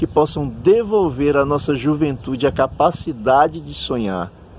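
At a fairly slow pace, a man speaks with fairly high pitch and lively intonation over noticeable background noise. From Juazeiro, Bahia, Brazil. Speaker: teacher and interviewer. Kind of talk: interview. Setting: outdoors in a town square.

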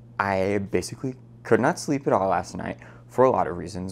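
Moderate pace and ordinary pitch variation from a man's voice. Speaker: travel reporter. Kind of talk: casual vlog chat. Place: home room. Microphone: lapel.

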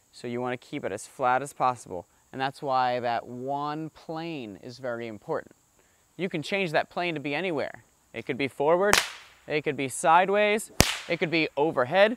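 At a moderate pace, a man's voice comes through with a dry sound with no echo over loud background noise. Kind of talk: explanatory tutorial. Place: garden.

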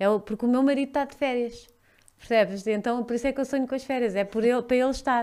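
A woman with a European Portuguese accent, high-pitched, talking very fast in a fairly even intonation, against a quiet background. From Portugal. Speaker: podcast host; podcast guest. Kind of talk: casual chat. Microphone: studio mic.

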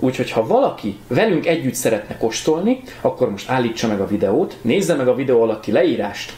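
A man at a fairly quick pace, with audible room echo. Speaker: show host. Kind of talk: casual show host intro. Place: home room.

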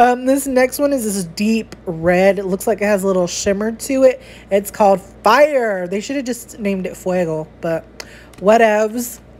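Speaking at a moderate pace in an animated tone, a woman with an American accent has a fairly high pitch and ordinary pitch variation. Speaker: beauty vlogger. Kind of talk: product unboxing. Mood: playful, chatty. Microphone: phone near.

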